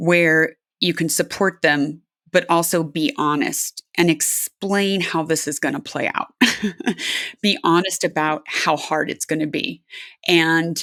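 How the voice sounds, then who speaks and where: A woman with an American accent speaks in a plain, everyday voice, fairly low in pitch and at a fairly slow pace, with fairly even intonation. The recording is very clean and dry, close with no echo, over a silent background. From California. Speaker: aerospace engineer and adventure athlete. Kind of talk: interview.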